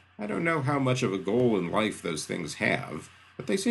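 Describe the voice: Plain reading aloud delivered with lively intonation.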